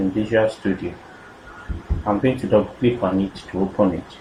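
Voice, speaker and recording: A man with a fairly low pitch and ordinary pitch variation speaks over noticeable background noise. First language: not French. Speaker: software tutorial creator. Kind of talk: screen-recorded coding tutorial. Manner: halting, with self-corrections and fillers.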